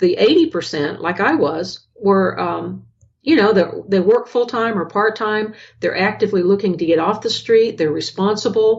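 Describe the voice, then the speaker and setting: Her intonation is lively and her pitch sits in the medium range, with vocal fry running through this woman's voice. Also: moderate pace. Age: 60s. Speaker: ghostwriter and public speaker. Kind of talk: interview. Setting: live video call. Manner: hesitant, with many fillers.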